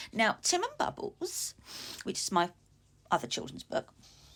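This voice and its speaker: The speaker talks at a fairly quick pace with an English accent. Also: woman. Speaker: author and vlogger. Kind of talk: casual vlog. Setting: at home.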